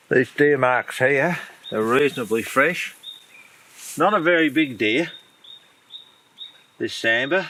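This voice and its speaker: A man with an Australian accent talks at a fairly high pitch and a fairly slow pace, with lively intonation. Noticeable background noise is present. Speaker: deer hunter and guide. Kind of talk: outdoor tutorial. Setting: outdoors in the bush. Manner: unscripted, informal.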